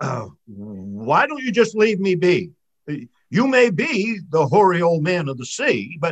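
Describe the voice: Lively intonation colors the plain reading aloud, set against a quiet background.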